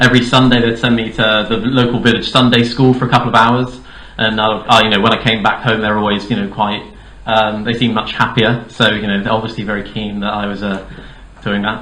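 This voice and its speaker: With a southern English accent, a man talks very fast at a medium pitch in a monotone, flat delivery, with audible room echo. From Dorset, southern England. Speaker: political candidate. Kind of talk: campaign speech. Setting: hall with audience. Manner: hesitant, many fillers.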